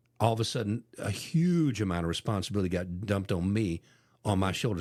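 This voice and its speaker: In a very clean recording with a silent background, a man with an ordinary speaking voice talks at a fairly quick pace and a fairly low pitch, with lively intonation. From Ohio, US Midwest. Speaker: podcast host. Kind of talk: casual chat.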